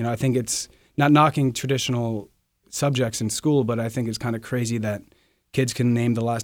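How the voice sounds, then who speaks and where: A man's normal speaking voice at a medium pitch and fairly quick pace, on a very clean recording with a silent background. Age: 20s. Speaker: chef. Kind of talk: casual interview.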